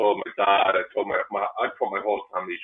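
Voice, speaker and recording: The voice carries an Irish accent. The pace is moderate. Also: man. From Ireland. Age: 20s. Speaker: cancer survivor and bartender. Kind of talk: interview.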